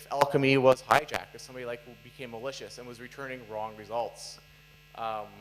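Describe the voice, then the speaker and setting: Through noticeable background noise, a man rattles along at a very fast pace in a monotone, flat delivery. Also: medium pitch for a man, big swings in loudness. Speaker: software developer giving conference talk; conference speaker. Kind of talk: conference talk. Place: hall.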